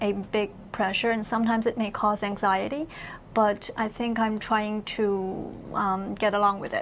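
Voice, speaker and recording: A woman speaks with a Chinese accent at a moderate pace. Her pitch is fairly high and her intonation monotone and flat. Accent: Mandarin Chinese accent in English. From mainland China. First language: Mandarin Chinese. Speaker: university professor. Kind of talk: interview conversation. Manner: hesitant, many fillers and repeats.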